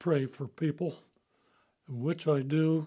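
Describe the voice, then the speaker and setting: A man speaks with an American accent at a very slow pace. His voice is fairly high in pitch, somewhat breathy, with a dark, mellow tone. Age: 90s. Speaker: church member, veteran. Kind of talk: personal testimony.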